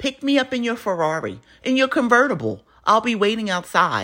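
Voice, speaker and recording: The speaker has an animated tone at a moderate pace. The recording is very clean, with a silent background. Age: 40s. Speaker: podcast host and comedian. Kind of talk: casual monologue.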